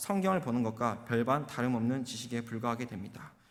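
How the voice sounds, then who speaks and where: A man with lively intonation, and audible room echo. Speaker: junior pastor. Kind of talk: sermon. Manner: fast.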